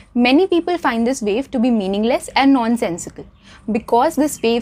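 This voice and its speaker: Over noticeable background noise, a woman speaks at a fairly quick pace in a fairly high pitch with lively intonation. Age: young. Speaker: student debater. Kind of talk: debate speech to camera.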